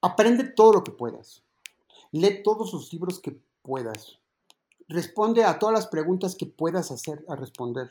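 A man's high-pitched voice, dark and mellow in tone, with very wide pitch swings, big shifts in loudness and a fairly slow pace. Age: 60s. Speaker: advertising creative and musician. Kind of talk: interview. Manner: halting, many repetitions and fillers.

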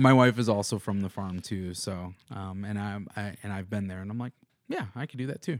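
With an American accent, a man uses a normal speaking voice, fairly low in pitch, at a moderate pace with ordinary pitch variation. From US Midwest (Madison, Wisconsin). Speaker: musician and music producer. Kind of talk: casual interview chat.

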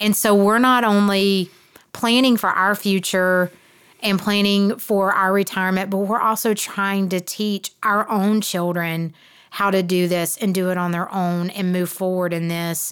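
In a very clean recording with a silent background, a woman speaks at a medium pitch and fairly slow pace with monotone, flat intonation. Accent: Southern US. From South Georgia, US South. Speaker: real estate investor and podcast co-host, former teacher. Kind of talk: casual chat.

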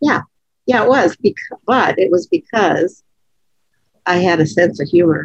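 A woman speaks at a fairly slow pace, her fairly low voice marked by vocal fry. Her pitch swings very widely, with long, frequent pauses. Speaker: podcast co-host, leadership consultant. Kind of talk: casual conversational podcast. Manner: laughs often.

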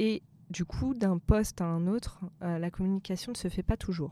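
On a very clean recording with a silent background, a woman with a dark, mellow tone speaks at a fairly slow pace with ordinary pitch variation. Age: 30s. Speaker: HR agile consultant. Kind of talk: interview.

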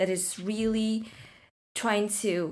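Speaking very slowly with a Chinese accent, a woman keeps her intonation fairly even. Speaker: podcast host. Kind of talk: interview.

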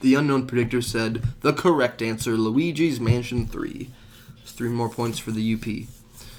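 Using a plain, everyday voice, a man speaks at a fairly slow pace and medium pitch. His intonation is fairly even, but his loudness swings a lot. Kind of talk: casual banter, tallying game-awards prediction scores in a playful mock-show style.

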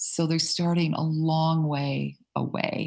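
A woman with an American accent speaks in a very deep, low pitch with a somewhat breathy sound. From US South, southern Mississippi. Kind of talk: podcast interview.

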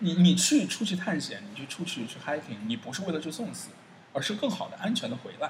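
A high-pitched man at a fairly quick pace, his pitch swinging very widely and his loudness shifting a lot. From China. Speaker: traveller. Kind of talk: interview. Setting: indoor cafe. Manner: fast; hesitant fillers.

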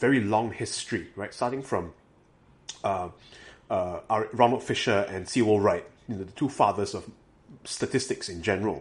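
Somewhat breathy and fairly low, a man's voice moves at a fairly quick pace with ordinary pitch variation. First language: not English. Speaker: graduate student researcher. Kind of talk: casual chat.

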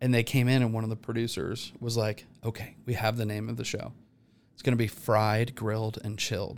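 In an ordinary speaking voice, a man at medium pitch uses fairly even intonation and a fairly quick pace on a very clean recording with a silent background. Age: 40s. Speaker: TV grilling chef. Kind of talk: casual chat.

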